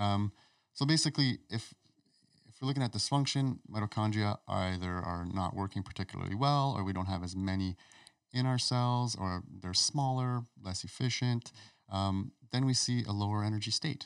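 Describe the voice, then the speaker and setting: A man talks in an unremarkable speaking voice, fairly low in pitch and with ordinary pitch variation. His pace is moderate, and the recording is very clean with a silent background. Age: 40s. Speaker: naturopathic doctor. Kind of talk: casual chat. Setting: studio.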